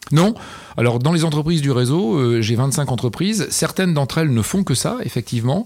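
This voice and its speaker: Intonation is lively and the pace fairly quick. Loudness stays very even throughout. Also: man, fairly high pitch for a man. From northern France (Picardy, Amiens). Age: 50s. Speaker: company CEO. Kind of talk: interview. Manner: enthusiastic.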